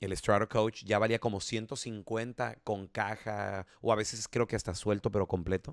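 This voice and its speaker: On a very clean recording with a silent background and a dry, close sound with no echo, a man with a normal speaking voice and a fairly low pitch speaks at a fairly slow pace with fairly even intonation and hardly any pauses. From Chihuahua, Mexico. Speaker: radio announcer. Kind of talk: casual chat.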